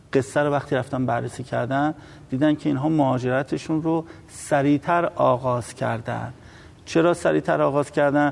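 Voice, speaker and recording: Speaking at a moderate pace, a man has a normal speaking voice pitched fairly high, with fairly even intonation. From Iran, Tehran. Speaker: environmental activist and researcher. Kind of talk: TV interview.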